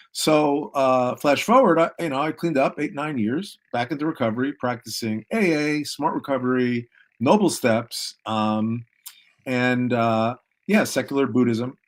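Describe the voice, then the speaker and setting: A man with an ordinary speaking voice speaks at a fairly slow pace and medium pitch. His pitch variation is ordinary, and the recording is very clean with a silent background. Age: 60s. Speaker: peer recovery specialist. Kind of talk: testimony.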